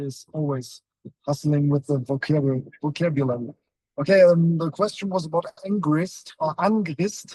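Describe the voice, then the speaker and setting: Heard in a dry, close sound with no echo, a man with a fairly high pitch and a dark, mellow tone speaks at a moderate pace with ordinary pitch variation. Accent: German. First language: German. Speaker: metal band member. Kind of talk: casual interview. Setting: in a moving van. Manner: halting.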